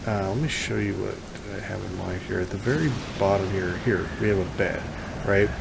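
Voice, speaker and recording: Noticeable background noise and audible room echo around a man's voice of ordinary pitch variation. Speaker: gaming YouTuber. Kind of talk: let's play commentary. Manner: halting, many fillers.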